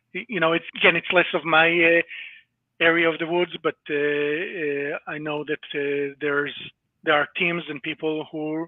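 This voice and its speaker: A man with an Israeli accent speaks at a moderate pace. His pitch is fairly high and his intonation fairly even. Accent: Hebrew (Israeli). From Israel (born in Latvia). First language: Hebrew. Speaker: cybersecurity company employee. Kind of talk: interview. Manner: hesitant, many fillers.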